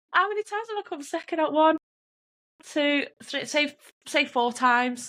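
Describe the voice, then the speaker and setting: A woman with a Manchester accent speaks at an extremely high pitch. Her tone is bright and sharp, with lively intonation. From northern England, Oldham, Greater Manchester. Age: 30s. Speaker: strongwoman athlete and nurse. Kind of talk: casual chat. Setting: podcast interview. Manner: animated.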